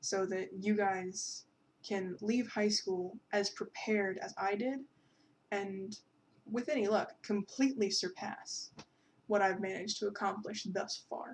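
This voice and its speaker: A somewhat breathy woman at medium pitch, with fairly even intonation and a fairly slow pace. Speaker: art student tutor. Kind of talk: casual talk to camera. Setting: bedroom. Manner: stutters, repeats herself. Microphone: old webcam mic, poor audio.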